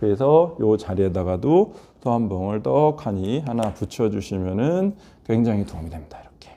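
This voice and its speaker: With a dark, mellow tone, a man speaks at a fairly low pitch and a moderate pace, his pitch swinging very widely and his loudness swinging a lot. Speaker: hand acupuncture instructor. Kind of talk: tutorial.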